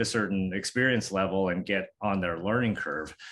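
Over a quiet background, a man talks at a moderate pace in a fairly low voice. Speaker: urologic surgeon. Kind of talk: interview answer. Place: office. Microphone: webcam.

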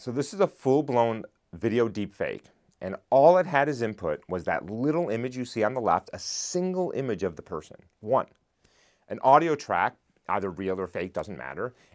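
The background stays quiet. The man's voice has vocal fry and swings very widely in pitch. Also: moderate pace. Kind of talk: interview answer. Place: studio. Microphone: lapel.

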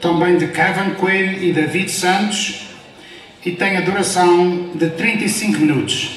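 Over light background noise and audible room echo, a man talks at a very slow pace in a high, monotone, flat voice. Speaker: event host, announcer. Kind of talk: stage announcement. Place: hall.

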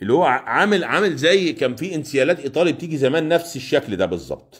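An animated man with vocal fry and an Egyptian accent, over a quiet background. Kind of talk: live sales stream. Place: shop. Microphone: phone near.

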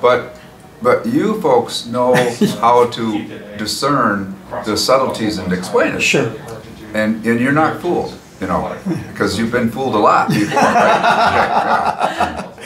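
The speech has long, frequent pauses. Noticeable background noise is present. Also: man, fairly slow pace. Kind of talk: interview answer. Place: hall.

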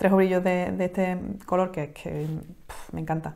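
A woman with an Andalusian accent speaks at a fairly low pitch. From Palma del Río, Córdoba, Andalusia. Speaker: knitting podcast co-host. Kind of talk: casual chat. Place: home room. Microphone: lapel.

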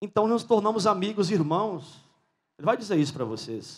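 Moderately paced speech from a man, the background quiet. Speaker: priest. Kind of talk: stage introduction speech. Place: stage. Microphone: handheld.

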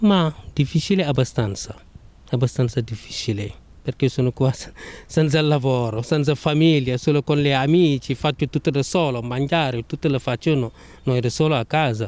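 A man speaks at a moderate pace with a non-native accent. His loudness stays very even throughout. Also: fairly high pitch for a man, ordinary pitch variation. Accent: foreign accent, speaks Italian well. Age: 30s. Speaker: unlicensed parking attendant. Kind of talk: street interview. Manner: halting.

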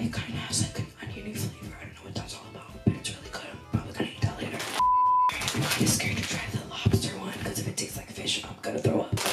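Over loud music in the background, a woman talks at a very fast pace. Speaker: vlogger. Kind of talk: casual ASMR snack-tasting vlog chat. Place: home room.

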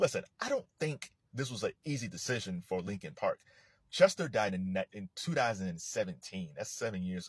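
At a moderate pace, a man speaks with big swings in loudness, the sound dry with no echo and the background quiet. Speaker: commentator. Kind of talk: casual commentary. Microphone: phone near.

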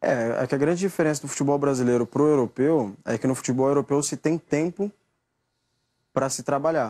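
In a very clean recording with a silent background and a dry, close sound with no echo, a man with a fairly high pitch and a dark, mellow tone speaks fairly quickly with ordinary pitch variation. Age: 20s. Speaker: footballer. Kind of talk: press interview.

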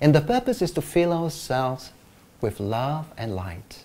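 In a gentle, soothing, soft-spoken voice with a dark, mellow tone, the speaker goes at a fairly slow pace with very wide pitch swings. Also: man. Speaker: meditation teacher. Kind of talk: guided meditation, gentle instructions with pauses. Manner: calm, slow, soft-spoken. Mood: warm, smiling. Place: office. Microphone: lapel.

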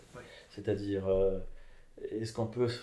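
A man with a fairly low pitch, a dark, mellow tone and a somewhat breathy quality speaks in audible room echo over light background noise. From Mexico. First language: Spanish (speaking French). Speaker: philosopher; interviewee. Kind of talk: interview. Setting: at his home. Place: home room. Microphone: camera far.

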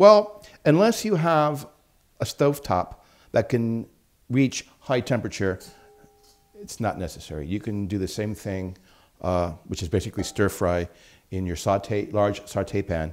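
With a fairly low pitch, a man speaks at a fairly slow pace, leaving long, frequent pauses. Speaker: cooking English teacher. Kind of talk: tutorial. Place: kitchen.

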